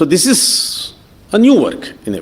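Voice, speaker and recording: In a Kannada accent, a man talks at a high pitch. His pitch swings very widely. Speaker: professor. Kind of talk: lecture. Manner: hesitant, many fillers.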